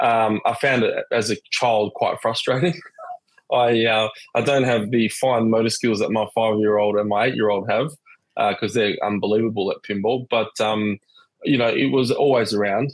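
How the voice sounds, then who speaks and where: A man with an Australian accent speaks at a moderate pace in a medium-pitched voice. His intonation is fairly even and his loudness stays very even. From Western Australia, Perth. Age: 30s. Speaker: pinball collector. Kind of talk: casual chat.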